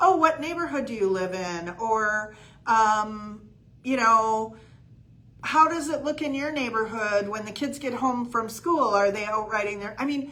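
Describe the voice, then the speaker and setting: A woman's bright, sharp voice with lively intonation at a moderate pace, with audible room echo. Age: 60s. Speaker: real estate coach. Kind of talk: livestream coaching talk. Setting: live video stream. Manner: casual with many fillers.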